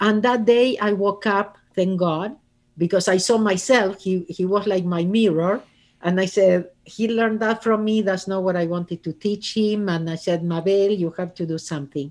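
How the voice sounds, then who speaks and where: A woman with an Argentine accent speaks at a medium pitch and moderate pace. Her intonation is fairly even, and the background is quiet. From Argentina. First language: Spanish. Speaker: author and speaker. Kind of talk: casual interview.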